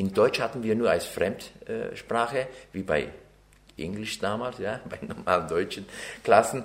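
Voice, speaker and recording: A man speaks with a Turkish accent. He leaves long, frequent pauses. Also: fairly slow pace. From Turkey (Ankara/Çorum), then Bavaria from age nine. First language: Turkish (speaking German). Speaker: interviewee, naturalized citizen. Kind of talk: interview testimony.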